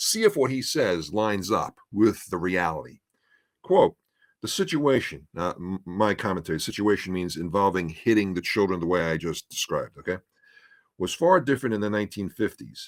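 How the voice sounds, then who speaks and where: In a plain, everyday voice, a man speaks at a fairly low pitch and a moderate pace with lively intonation, in a very clean recording with a silent background and a dry, close sound with no echo. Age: 50s. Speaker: former teacher, church history commentator. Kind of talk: podcast discussion.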